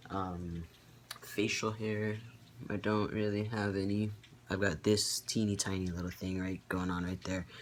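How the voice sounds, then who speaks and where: This man has a fairly low voice and flat, monotone intonation. His pace is fairly slow. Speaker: vlogger. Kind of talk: casual vlog update. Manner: many filler ums, hesitant.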